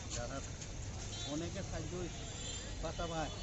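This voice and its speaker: A man's voice in a dry, echo-free recording with loud background noise. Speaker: elderly man denied pension. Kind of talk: interview answer. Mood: plaintive, complaining of hardship. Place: street. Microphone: phone near.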